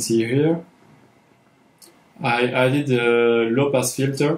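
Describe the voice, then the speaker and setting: A man with a French accent speaks at a very slow pace, his pitch medium and his intonation fairly even. Room echo is audible. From France. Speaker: filmmaker and sound designer. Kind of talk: tutorial. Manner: halting, many fillers. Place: home room.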